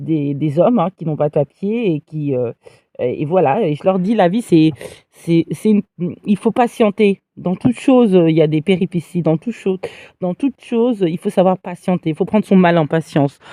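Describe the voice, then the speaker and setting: A woman with a fairly low, dark, mellow voice speaks at a moderate pace with lively intonation. The sound is dry and close with no echo. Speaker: livestreamer. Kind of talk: live stream monologue. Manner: hesitant, many fillers.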